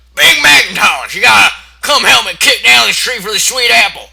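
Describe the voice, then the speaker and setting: A man performs a put-on character voice at a fairly quick pace. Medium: read story. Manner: blunt, cursing.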